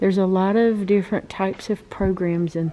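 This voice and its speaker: A woman's medium-pitched voice with a dark, mellow tone and a North Carolina accent. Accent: Southern US (North Carolina). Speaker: travel vlogger. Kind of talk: casual vlog walkthrough. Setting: outdoors. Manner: animated.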